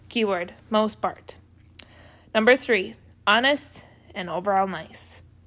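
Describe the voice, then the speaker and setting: Long, frequent pauses break up very slow speech in a very clean recording with a silent background. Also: woman, ordinary pitch variation. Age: 20s. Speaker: podcast host. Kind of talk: casual solo monologue. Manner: animated, high-energy.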